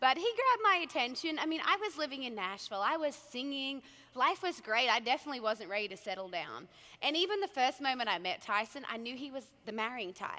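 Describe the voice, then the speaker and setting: A woman speaks in a raised, projected voice with an Australian accent and a high pitch. Her pitch swings very widely, and her pace is very fast. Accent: Australian accent, noticeable. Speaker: country singer. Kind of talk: keynote speech, casual storytelling.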